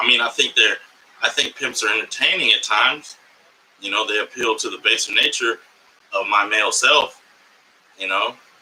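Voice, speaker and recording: Long, frequent pauses break up the speech of a man with an American accent, heard over noticeable background noise. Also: moderate pace. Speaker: comedian and podcast host. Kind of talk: live podcast monologue. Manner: animated.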